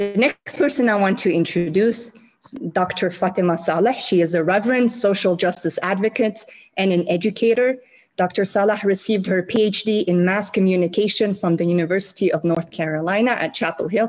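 The woman speaks at a moderate pace with ordinary pitch variation. Her loudness stays very even over a quiet background. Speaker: founder of peacebuilding nonprofit, panel moderator. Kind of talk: moderated panel discussion. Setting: video call. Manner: formal. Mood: warm, cheerful. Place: home room. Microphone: earbuds.

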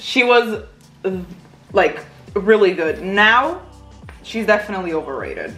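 Faint music plays in the background as a woman speaks at a moderate pace with long, frequent pauses. Her fairly high voice has lively intonation. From Portugal. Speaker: vlogger. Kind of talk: casual talk to camera. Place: home room. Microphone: camera far.

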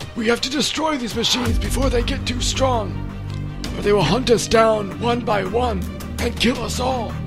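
A man's put-on character voice over loud music in the background. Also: moderate pace. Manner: grim, urgent.

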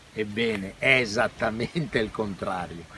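Against noticeable background noise, a man speaks at a fairly slow pace, the sound dry with no echo. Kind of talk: casual explanatory vlog talk. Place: open country. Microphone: phone near.

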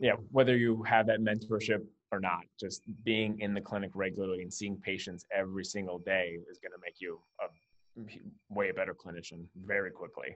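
A man's unremarkable speaking voice, fairly low in pitch, with fairly even intonation and a fairly quick pace over a quiet background. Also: big swings in loudness. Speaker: physical therapist and practice co-founder. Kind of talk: panel discussion. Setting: video call. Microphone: video call.

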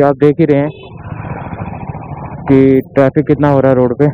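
The man's voice sounds dry with no echo, though noticeable background noise comes through. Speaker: motorbike travel vlogger. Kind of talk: casual vlog chat. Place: motorbike. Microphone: helmet.

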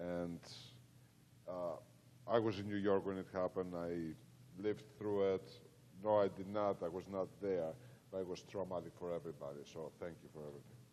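A man with a Greek accent speaks at a fairly quick pace but with long, frequent pauses. His voice is very deep and low, with a dark, mellow tone. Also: ordinary pitch variation. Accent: Greek, noticeable. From Greece. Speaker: event host, foundation board member. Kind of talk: event moderation.

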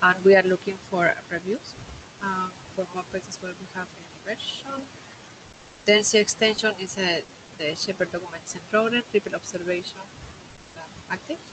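Woman at a moderate pace with long, frequent pauses, big swings in loudness, and ordinary pitch variation, over noticeable background noise. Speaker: working group chair. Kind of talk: online technical meeting. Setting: video call. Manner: halting. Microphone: video call.

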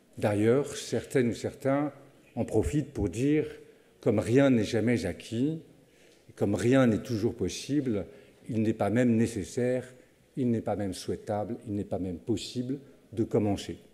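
A man with a dark, mellow tone speaks at a moderate pace with ordinary pitch variation and long, frequent pauses. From France. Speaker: university director. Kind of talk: formal welcome speech. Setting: lecture hall with audience. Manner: formal. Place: hall. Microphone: podium.

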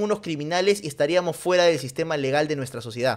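The voice sounds animated, with lively intonation against a quiet background. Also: man. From Peru. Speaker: streamer and football commentator; streamer, football commentator. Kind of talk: casual livestream commentary. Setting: livestream. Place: home room. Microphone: studio mic.

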